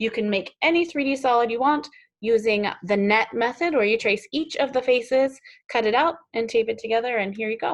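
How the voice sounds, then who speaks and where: A woman speaks at a fairly quick pace in a fairly high pitch with ordinary pitch variation. Hers is a plain, everyday voice. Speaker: teacher. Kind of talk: tutorial.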